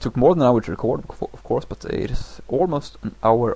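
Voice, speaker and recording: A man speaks with a non-native accent and vocal fry. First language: not English. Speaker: gaming commentator. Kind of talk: game commentary. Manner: halting; slow.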